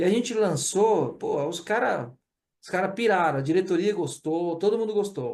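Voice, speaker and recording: A man with a strong Pernambuco accent. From Brazil, Pernambuco. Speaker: corporate training manager. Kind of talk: webinar case study talk. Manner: casual, informal.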